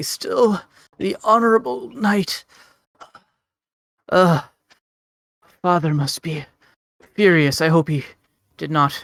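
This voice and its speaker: A raspy, put-on character voice at middle pitch, at a fairly slow pace with long, frequent pauses. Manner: weak.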